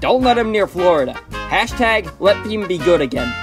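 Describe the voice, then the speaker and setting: The voice belongs to a man. Music plays in the background. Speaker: voice actor. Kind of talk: comedic video game commentary.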